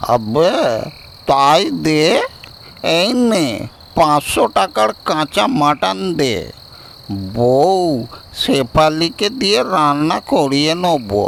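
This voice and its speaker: Against clear background noise, a man puts on a cartoonish character voice, fairly high in pitch, with very wide pitch swings at a very slow pace. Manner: slurred, affectionate.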